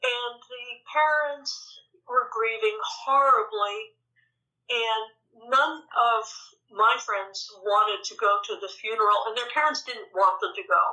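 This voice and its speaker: A woman with an American accent and a high pitch speaks at a fairly slow pace with lively intonation, big swings in loudness and long, frequent pauses. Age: 70s. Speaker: Buddhist meditation teacher. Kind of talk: interview.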